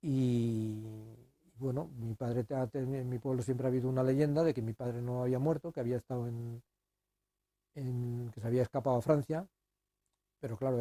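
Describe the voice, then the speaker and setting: Dry and close with no echo, a man's medium-pitched, dark, mellow voice moves at a fairly quick pace with fairly even intonation and long, frequent pauses. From Spain, Guadalajara province (Salmerón). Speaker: son of executed civil war victim. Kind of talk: interview testimony. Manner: halting, with repetitions.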